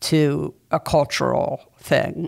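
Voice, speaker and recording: A woman's very deep, low voice with an American accent. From New York City. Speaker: podcast host, author. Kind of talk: interview. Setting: theater venue recording.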